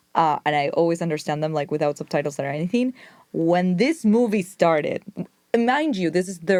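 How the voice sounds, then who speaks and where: She has a fairly low pitch. This woman speaks with a Spanish accent. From Argentina. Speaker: film journalist. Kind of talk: casual chat. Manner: animated.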